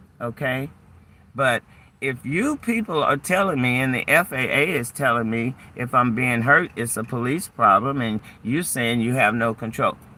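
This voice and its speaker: A man's bright, sharp tone with an American accent, at a moderate pace. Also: medium pitch for a man, ordinary pitch variation. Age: 60s. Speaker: channel owner, retiree. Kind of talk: heated argument with police officer. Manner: animated.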